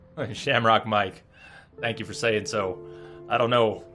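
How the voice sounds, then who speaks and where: Over music in the background, a man talks fairly slowly at a medium pitch with ordinary pitch variation. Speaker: streamer. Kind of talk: storytelling narration.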